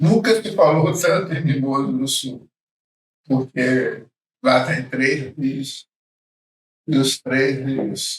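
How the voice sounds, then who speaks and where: Somewhat breathy and fairly high-pitched, a man speaks very slowly with ordinary pitch variation and long, frequent pauses. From Brazil, Espírito Santo. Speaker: church elder. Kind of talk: interview.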